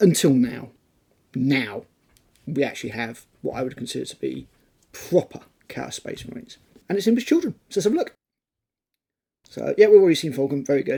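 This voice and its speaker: With a British accent, a man speaks with long, frequent pauses and big swings in loudness. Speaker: tabletop wargaming YouTuber. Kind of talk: casual talk to camera.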